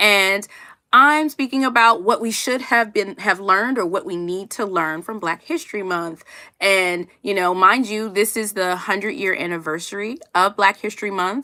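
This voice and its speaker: A woman with an American accent speaks loudly in an animated tone at a moderate pace, her medium pitch rising and falling in an ordinary way, on a very clean recording with a silent background. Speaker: HR professional and career coach. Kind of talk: livestream talk.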